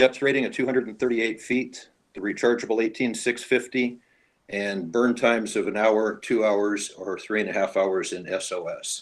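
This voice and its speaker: At a moderate pace, a man with an ordinary speaking voice talks in a medium pitch with fairly even intonation. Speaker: dive equipment presenter. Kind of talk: product presentation.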